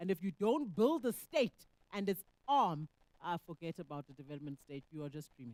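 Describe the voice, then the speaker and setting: Loudness rises and falls sharply and the pitch leaps across a very wide range, all in a dry, close sound with no echo. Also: woman, fairly low pitch for a woman. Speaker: economist. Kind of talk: panel discussion answer.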